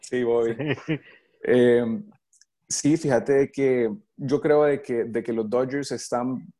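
In a Salvadoran accent, a man with a dark, mellow tone and medium pitch speaks at a very slow pace with ordinary pitch variation and long, frequent pauses. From El Salvador. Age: 20s. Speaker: baseball pitcher and coach. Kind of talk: interview. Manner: halting, many repetitions.

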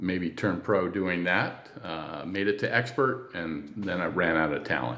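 Speaking with an American accent, a man uses a very deep, low pitch with ordinary pitch variation, and audible room echo surrounds his voice. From California. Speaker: cycling event founder and ad agency owner. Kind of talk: interview.

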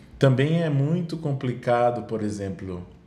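Heard with audible room echo, a man speaks at a moderate pace in a somewhat breathy voice with ordinary pitch variation. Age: 40s. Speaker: children's music educator and performer. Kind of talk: casual chat.

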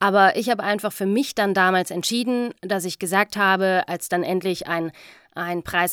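A woman's bright, sharp voice at medium pitch and moderate pace, dry and close with no echo, on a very clean recording with a silent background. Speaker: voice-over artist and podcast host. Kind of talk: casual monologue storytelling.

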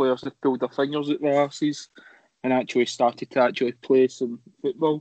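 With a Scottish accent, a man talks in a flat monotone at a fairly high pitch, the sound dry and close with no echo. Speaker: football podcast panelist. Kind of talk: casual chat.

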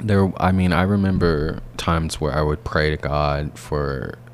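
Over noticeable background noise, a man speaks very slowly in a very deep, low pitch with ordinary pitch variation. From US South, Alabama. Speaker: PhD student and artist. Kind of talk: interview. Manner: halting, many fillers and repetitions.

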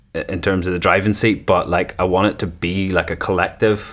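Over music in the background, a man with a Northern Irish accent speaks at a very deep, low pitch in a monotone, flat intonation. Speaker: musician. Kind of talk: interview. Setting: video call.

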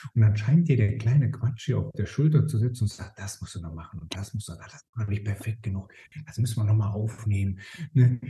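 Talking very fast in a slight Rhineland accent, a man has a fairly low pitch and a dark, mellow tone that is somewhat breathy. His pitch varies in an ordinary way while his loudness swings widely. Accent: slight Rhineland dialect tinge. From Rhineland, Germany. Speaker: time management expert. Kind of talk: podcast interview. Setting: remote call.

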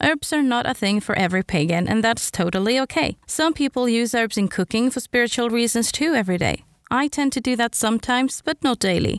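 This woman talks at a fairly quick pace with hardly any pauses, a fairly high pitch and lively intonation. Her loudness stays very even, and the sound is dry and close with no echo. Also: very clean recording, silent background. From Sweden. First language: Swedish. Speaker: podcast host. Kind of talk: solo podcast monologue.

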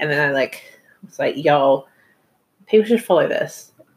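Woman with a New Zealand accent, talking at a very fast pace. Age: 20s. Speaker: podcast host. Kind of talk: casual chat.

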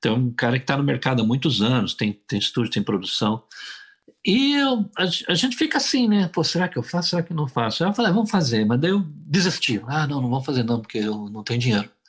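Somewhat breathy and fairly high, a man's voice races at a very fast pace with very wide pitch swings. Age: 60s. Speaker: singer-songwriter. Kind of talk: casual interview.

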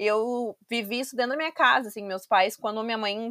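An ordinary speaking voice at a moderate pace, on a very clean recording with a silent background. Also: woman. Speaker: podcast host. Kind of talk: casual interview.

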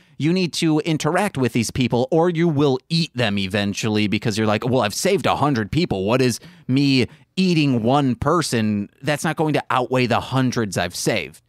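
In a very clean recording with a silent background and a dry, close sound with no echo, a man with an ordinary speaking voice talks at a moderate pace and medium pitch, his intonation lively and his loudness very even. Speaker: podcast host. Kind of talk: casual banter podcast chat. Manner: joking, playful.

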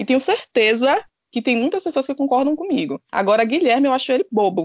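The sound is dry and close with no echo. A woman speaks at a moderate pace with very wide pitch swings. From Bahia, Brazil. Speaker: reality TV commentator. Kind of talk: casual chat.

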